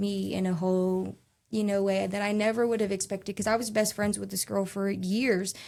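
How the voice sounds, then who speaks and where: A woman speaks at a moderate pace in a medium pitch, her intonation flat and monotone, on a very clean recording with a silent background. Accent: American. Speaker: former foster youth and advocate. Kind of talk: interview. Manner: casual, filler-heavy.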